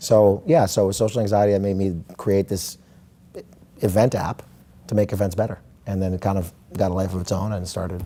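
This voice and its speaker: A man's fairly low voice with a dark, mellow tone, a fairly quick pace, and long, frequent pauses. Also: fairly even intonation. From Israel. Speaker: tech company founder. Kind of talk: interview.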